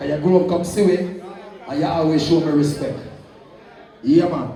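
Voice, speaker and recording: A man speaks in an animated tone. Audible room echo and noticeable background noise surround him. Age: 70s. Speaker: sound system selector. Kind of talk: live dancehall MC hype. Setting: live dance with crowd. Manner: loud.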